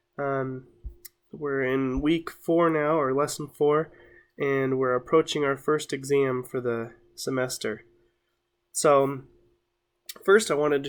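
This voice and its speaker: A man's fairly high voice at a very slow pace, fairly even in intonation, with long, frequent pauses, on a very clean recording with a silent background. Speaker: college instructor. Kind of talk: tutorial. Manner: halting, many fillers.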